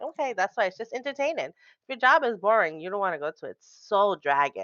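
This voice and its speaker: A woman with a strong Rhode Island accent, very fast and animated, fairly high in pitch, with very wide pitch swings and big swings in loudness. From Rhode Island, New England. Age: 30s. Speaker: pharmacy technician, streamer. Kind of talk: casual podcast chat.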